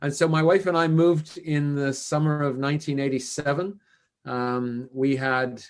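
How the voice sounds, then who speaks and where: A man talks with a Canadian accent and fairly even intonation. The background is quiet. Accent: Canadian, noticeable to British listeners. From western Canada, Vancouver. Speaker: business consultant, former CFO. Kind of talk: podcast interview. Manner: casual, with many fillers.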